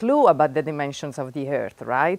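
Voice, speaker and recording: With an Italian accent, the speaker moves at a moderate pace in a dark, mellow tone. The pitch swings very widely. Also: woman. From Italy, Florence. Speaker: physics professor. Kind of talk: lecture. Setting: classroom with live audience. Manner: animated.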